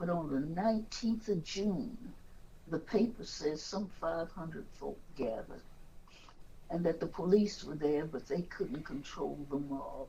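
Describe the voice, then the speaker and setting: In an American accent, a woman with a fairly low pitch and a dark, mellow, somewhat breathy tone speaks at a fairly slow pace with lively intonation. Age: old. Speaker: activist. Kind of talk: interview answer.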